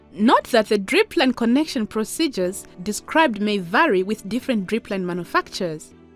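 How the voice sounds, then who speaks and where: Music plays behind a woman with a Zambian accent who speaks at a fairly quick pace with hardly any pauses. Her pitch swings very widely. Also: fairly high pitch for a woman. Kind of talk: educational animation narration.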